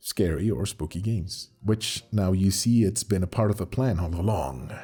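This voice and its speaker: A somewhat breathy man speaks at a moderate pace with ordinary pitch variation. He takes hardly any pauses. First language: Spanish. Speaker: animator and channel owner. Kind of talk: channel update monologue.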